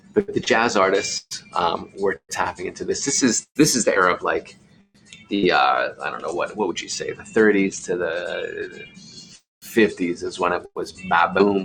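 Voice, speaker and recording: A man at a moderate pace, music in the background. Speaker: artist streaming from his studio. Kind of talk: casual live stream talk while painting. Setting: home art studio, live stream. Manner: halting, self-corrects.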